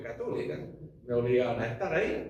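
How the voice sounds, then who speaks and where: A man speaks with very wide pitch swings. Audible room echo and noticeable background noise fill the recording. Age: 70s. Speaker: evangelical pastor and chaplain. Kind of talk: seminar discussion talk. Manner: halting.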